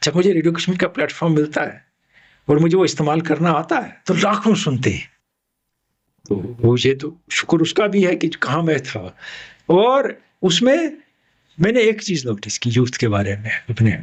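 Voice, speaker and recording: Against a quiet background, a man with a fairly high pitch and vocal fry lets his pitch swing very widely. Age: 60s. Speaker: retired radio broadcaster and sports commentator. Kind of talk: interview.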